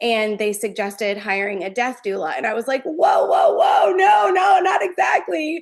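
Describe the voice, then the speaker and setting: A woman speaks in a fairly high voice with very wide pitch swings and an animated tone. She barely pauses as crowd noise carries on behind her. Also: moderate pace. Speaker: doula organization founder leading a focus group. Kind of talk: presentation in a focus group discussion.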